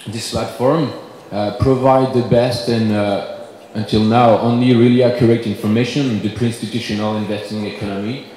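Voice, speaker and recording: Recorded with audible room echo and noticeable background noise, a man with a French accent speaks at a moderate pace, medium in pitch, with fairly even intonation. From France. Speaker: company representative. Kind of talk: conference presentation. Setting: conference panel. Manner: halting, many fillers.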